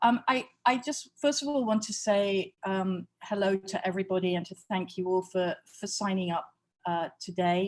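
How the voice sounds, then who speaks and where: In a British accent, a woman talks at a medium pitch. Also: ordinary pitch variation, moderate pace. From Britain. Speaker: museum experience executive. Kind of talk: online workshop lecture. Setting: video call from home. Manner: halting, many fillers.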